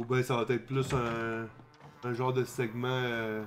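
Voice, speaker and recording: This is a man talking. His pitch sits at a medium level. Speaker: gaming streamer. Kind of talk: let's play commentary. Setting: live stream.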